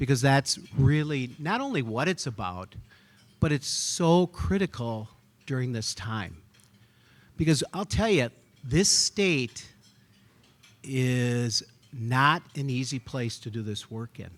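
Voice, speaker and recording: Very slowly and with long, frequent pauses, a man talks at medium pitch with lively intonation on a very clean recording with a silent background. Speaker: physician. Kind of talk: gala speech. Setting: stage with audience.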